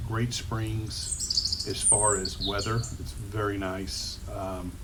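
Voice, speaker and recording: This man has a fairly low pitch and a Texan accent. Noticeable background noise and audible room echo surround his voice. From Texas, San Antonio. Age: 60s. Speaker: real estate agent. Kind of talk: informal presentation.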